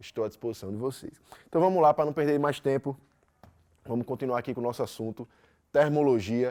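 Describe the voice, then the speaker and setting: A man with a Brazilian accent speaks at a fairly quick pace, using medium pitch, ordinary pitch variation and a dark, mellow tone. He takes long, frequent pauses, and the sound is dry and close with no echo. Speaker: physics teacher. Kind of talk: lecture. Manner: fast; loud.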